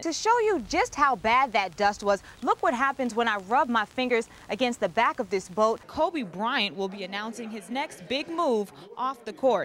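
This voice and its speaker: Over noticeable background noise, a woman sounds energetic, her fairly high voice moving in lively intonation at a moderate pace. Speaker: TV news reporter. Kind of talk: TV news report. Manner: energetic, conversational.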